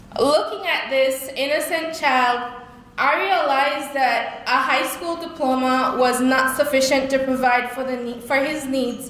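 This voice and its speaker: Amid noticeable background noise and audible room echo, a woman speaks at a high pitch and a fairly slow pace with fairly even intonation. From Belize. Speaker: speaker sharing life story. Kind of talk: testimony. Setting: stage with audience. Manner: halting.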